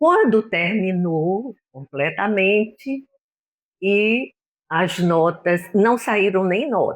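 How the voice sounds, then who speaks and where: Very slowly and at very even loudness, a woman speaks at medium pitch with lively intonation. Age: 70s. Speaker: retired physician. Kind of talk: interview reminiscence.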